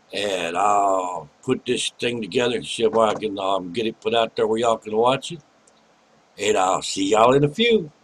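Ordinary pitch variation runs through this man's voice. He speaks at a moderate pace. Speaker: urbex vlogger. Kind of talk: casual vlog chat. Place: home room. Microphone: webcam.

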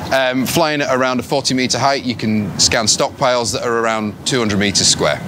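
Here a man talks at a fairly quick pace. Background noise is noticeable. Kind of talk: interview answer. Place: street. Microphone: lapel.

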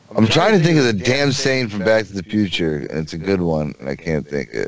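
A man's fairly low voice, fairly quick, with very wide pitch swings, a dry sound with no echo and noticeable background noise. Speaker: podcast co-host. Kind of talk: casual chat. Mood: giddy, slap-happy, laughing. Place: home room.

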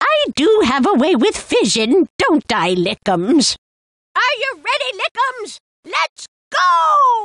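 Doing a put-on character voice, a woman speaks at an extremely high pitch with very wide pitch swings and a very slow pace, the sound dry and close with no echo. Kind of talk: video game character lines. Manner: excitable, exclamatory.

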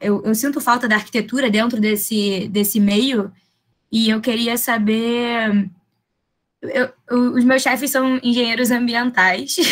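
A woman speaking at a very slow pace with ordinary pitch variation, against a quiet background. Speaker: architecture student, junior architect. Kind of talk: audience question in online lecture. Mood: friendly, enthusiastic. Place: home room. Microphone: webcam.

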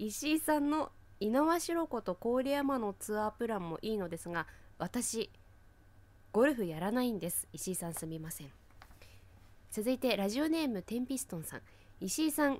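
This woman's fairly high voice swings very widely in pitch, recorded dry with no echo. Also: moderate pace. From Fukushima, Japan. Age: 30s. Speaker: local TV announcer, podcast co-host. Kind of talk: casual chat. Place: studio.

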